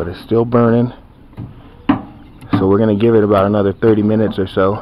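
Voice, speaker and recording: The sound is dry with no echo, and noticeable background noise can be heard. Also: man. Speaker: home cook vlogger. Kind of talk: casual vlog chat. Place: street. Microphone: phone near.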